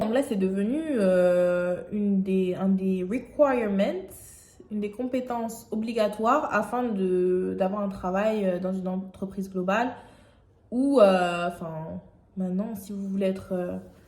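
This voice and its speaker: There is noticeable background noise along with audible room echo while the woman talks. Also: medium pitch for a woman, ordinary pitch variation, fairly slow pace. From France, Aubervilliers (Paris suburbs). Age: 20s. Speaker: YouTuber. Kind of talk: vlog monologue. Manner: hesitant, many fillers.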